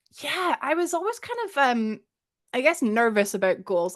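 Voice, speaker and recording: Against a quiet background, a woman with a Scottish accent speaks at a fairly high pitch. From Scotland. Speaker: streamer. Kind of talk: casual chat.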